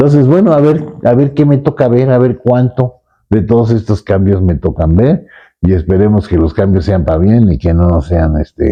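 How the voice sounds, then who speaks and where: Keeping his loudness very even, a man speaks at a moderate pace with a fairly low pitch and very wide pitch swings. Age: 70s. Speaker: painter. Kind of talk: interview. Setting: artist's studio. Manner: halting.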